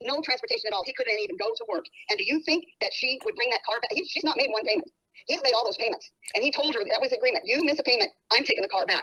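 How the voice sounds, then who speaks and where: A woman talks at a very fast pace in a raised, projected voice, high-pitched with a bright, sharp tone and very wide pitch swings. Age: 70s. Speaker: nurse, mother being asked about her daughter. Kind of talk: phone call interview.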